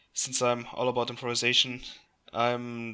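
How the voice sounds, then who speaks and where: A man with a non-native accent, his tone bright and sharp, on a very clean recording with a silent background. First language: not English. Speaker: YouTuber reacting to online mystery videos. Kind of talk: casual commentary and reading aloud.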